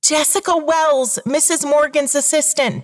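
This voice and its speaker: A put-on character voice, female-sounding and high-pitched, delivered at a moderate pace. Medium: read story.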